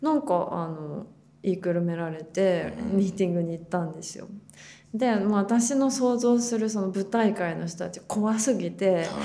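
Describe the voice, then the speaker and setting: With hardly any pauses, a woman speaks in ordinary pitch variation and big swings in loudness, over noticeable background noise and audible room echo. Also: medium pitch for a woman, moderate pace. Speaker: actor. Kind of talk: casual interview.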